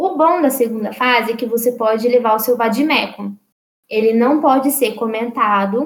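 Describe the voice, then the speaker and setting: A woman has an ordinary speaking voice with a fairly high pitch. She keeps a moderate pace and fairly even intonation. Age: 20s. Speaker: law graduate. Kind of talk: interview. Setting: online voice call.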